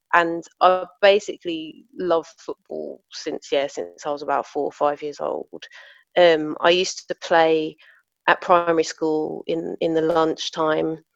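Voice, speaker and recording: A woman speaks at a fairly slow pace in a South London accent. The sound is dry and close, without echo. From Southeast London, England. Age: 40s. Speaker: football coach. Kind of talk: casual chat.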